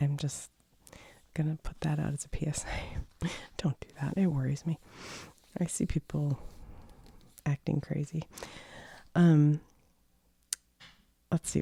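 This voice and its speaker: The voice is somewhat breathy with a dark, mellow tone and fairly even intonation, at a moderate pace with long, frequent pauses. The sound is dry and close, with no echo. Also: woman, very deep, low pitch for a woman. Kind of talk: soft-spoken ASMR talk.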